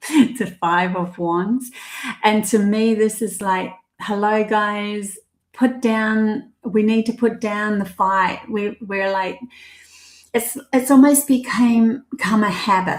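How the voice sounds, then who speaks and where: Very slowly, a woman speaks in a fairly high, somewhat breathy voice with fairly even intonation. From New Zealand. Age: 50s. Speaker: psychic tarot reader. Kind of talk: live stream tarot reading. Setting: live stream with chat. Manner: hesitant, many fillers.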